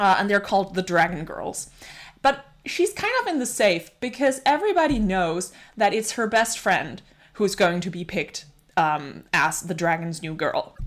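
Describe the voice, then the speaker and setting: In a Danish accent, a woman speaks at a moderate pace with an animated tone and very wide pitch swings. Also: medium pitch for a woman. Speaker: book reviewer. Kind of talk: casual book review monologue.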